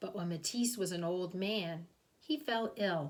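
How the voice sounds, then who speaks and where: Her voice comes across as somewhat breathy. The woman's delivery is very slow. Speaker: kindergarten teacher. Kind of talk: reading aloud; children's storytime explanation.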